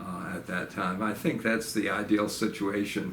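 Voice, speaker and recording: A man's fairly low voice with audible room echo. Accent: American. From New York (upstate, Staten Island). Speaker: retired professor. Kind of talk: oral history interview. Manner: halting, many fillers.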